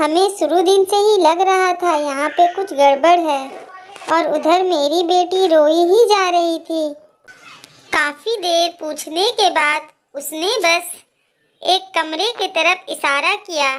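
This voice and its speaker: A woman's cartoonish character voice at an extremely high pitch. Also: fairly slow pace. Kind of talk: animated horror story narration in first person.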